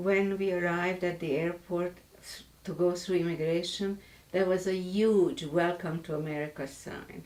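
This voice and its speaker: With a Hungarian accent, the voice holds a monotone, flat intonation at a moderate pace, with big swings in loudness. Noticeable noise sits in the background. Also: woman, fairly low pitch for a woman. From Hungary, Budapest. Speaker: author and Holocaust survivor. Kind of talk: interview testimony. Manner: halting, with self-corrections.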